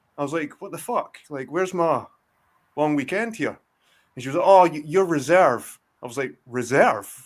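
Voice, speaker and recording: In a Scottish accent, a man talks at a fairly quick pace with lively intonation, in a very clean recording with a silent background. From Scotland. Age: 40s. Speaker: guest on a live stream. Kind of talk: casual chat. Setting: live stream. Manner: animated.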